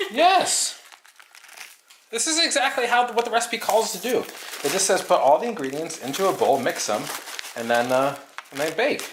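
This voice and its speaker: A loud, high-pitched man at a moderate pace, with very wide pitch swings and long, frequent pauses, amid noticeable background noise and audible room echo. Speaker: arcade channel host baking on livestream. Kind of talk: casual live-stream chat while baking. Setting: at home in kitchen, live stream.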